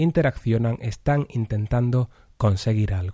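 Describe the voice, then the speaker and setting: The voice has a dark, mellow tone, somewhat breathy, with ordinary pitch variation. The very clean recording has a silent background and a dry, close sound with no echo. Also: man. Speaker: writing workshop teacher. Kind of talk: lecture. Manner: careful diction.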